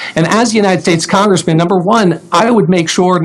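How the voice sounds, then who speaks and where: A man with an American accent talks at a fairly quick pace in a high voice with lively intonation. Noticeable background noise runs beneath him. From Florida, Palm Beach County. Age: 40s. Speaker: congressional candidate. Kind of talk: political debate.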